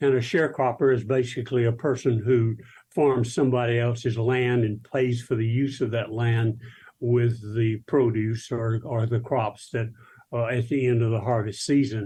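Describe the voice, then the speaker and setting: A dark, mellow, somewhat breathy voice with monotone, flat intonation and an Alabama accent. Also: man, medium pitch for a man, moderate pace. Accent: Southern US (Alabama). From US South, South Alabama. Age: 80s+. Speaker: minister. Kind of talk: interview, life story. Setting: video call.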